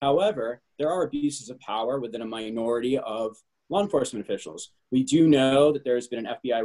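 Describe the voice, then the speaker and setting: With a dark, mellow tone and lively intonation, a man talks at a fairly quick pace over a quiet background. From New England. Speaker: political candidate; candidate. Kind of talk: panel discussion. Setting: video call. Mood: earnest, serious. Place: home room. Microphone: video call.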